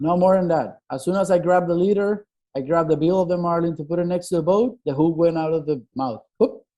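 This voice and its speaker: Talking at a very fast pace with hardly any pauses, a man with a Spanish accent uses a high pitch, a dark, mellow tone and ordinary pitch variation. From Venezuela, Puerto La Cruz. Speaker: fishing boat mate. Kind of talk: casual chat.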